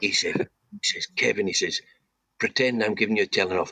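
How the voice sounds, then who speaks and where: Recorded with a dry, close sound and no echo, a man speaks at a fairly quick pace in a Scottish accent. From Scotland, Banff in Aberdeenshire. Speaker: former footballer. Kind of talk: interview.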